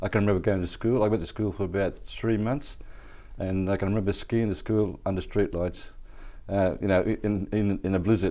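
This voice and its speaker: The voice has a dark, mellow tone. It moves at a fairly quick pace with fairly even intonation. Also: man, fairly low pitch for a man. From Wollongong, Australia (from age 7). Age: 70s. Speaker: wheelchair basketball club founder. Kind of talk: podcast interview. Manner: halting, many fillers.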